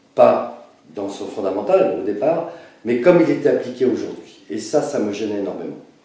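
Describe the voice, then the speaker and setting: A man's voice with lively intonation at a moderate pace, plus audible room echo. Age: 60s. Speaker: presidential candidate. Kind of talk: self-presentation interview. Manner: halting.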